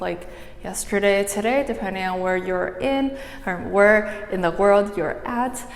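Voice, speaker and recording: Her pitch moves in an ordinary way as a woman talks. The room echo is audible, and background noise is noticeable. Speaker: dance tutorial creator. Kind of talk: tutorial. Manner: soft-spoken.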